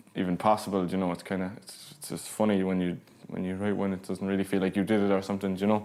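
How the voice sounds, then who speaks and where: A very fast man's voice, very deep and low in pitch, dark and mellow in tone, with monotone, flat intonation and big swings in loudness. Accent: Cork. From Ireland, County Cork. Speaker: singer-songwriter. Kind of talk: casual interview. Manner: halting.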